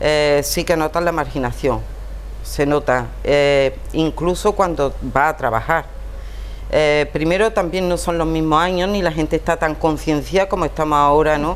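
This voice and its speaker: A woman with a very deep, low pitch speaks at a fairly slow pace, her loudness very even and her intonation fairly even, over noticeable background noise. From Andalusia, Montejícar (Granada). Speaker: writer. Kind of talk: interview.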